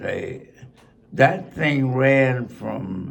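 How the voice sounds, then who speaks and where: Here a man talks with a Brooklyn accent. His voice sits fairly high. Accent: New York (Brooklyn). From Brooklyn, New York. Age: 80s+. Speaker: centenarian sports fan. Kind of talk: interview answer.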